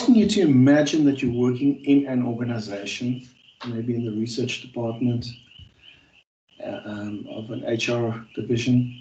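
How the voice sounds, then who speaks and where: A man with a South African accent speaks at a medium pitch in a dark, mellow, somewhat breathy tone with fairly even intonation, and audible room echo surrounds his voice. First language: Afrikaans. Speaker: university lecturer. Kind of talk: online class session. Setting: video call. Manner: hesitant, many fillers.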